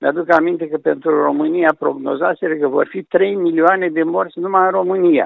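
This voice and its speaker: The delivery moves at a fairly quick pace. Its intonation stays fairly even. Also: man, high pitch for a man. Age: 70s. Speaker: medical professor. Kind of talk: phone interview. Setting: phone call.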